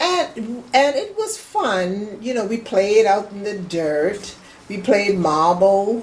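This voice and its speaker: In an American accent, a woman speaks at a very slow pace, with audible room echo and noticeable background noise. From US South, Charleston, South Carolina. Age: 70s. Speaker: family elder interviewee. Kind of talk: oral history interview. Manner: halting.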